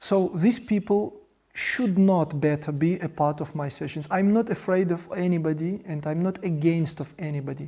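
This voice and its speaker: A man with a non-native accent talks at a moderate pace. His high pitch, dark, mellow tone and ordinary pitch variation stand out. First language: Russian. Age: 40s. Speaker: project founder. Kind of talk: monologue presentation. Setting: video studio. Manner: halting.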